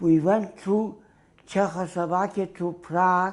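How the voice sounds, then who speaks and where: A man speaks very slowly in a high-pitched voice. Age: 90s. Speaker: Holocaust survivor. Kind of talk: oral history interview.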